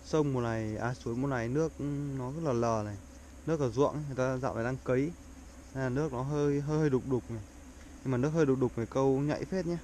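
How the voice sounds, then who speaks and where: Over light background noise, a man talks at a very fast pace with a dark, mellow tone, ordinary pitch variation and a dry sound with no echo. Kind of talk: casual vlog chat. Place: waterside. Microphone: phone near.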